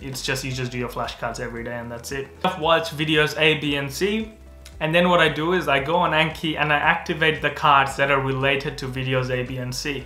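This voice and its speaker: A man speaks at a fairly quick pace with ordinary pitch variation. Faint music plays behind him, and room echo is audible. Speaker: medical student youtuber. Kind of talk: casual explainer vlog. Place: home room.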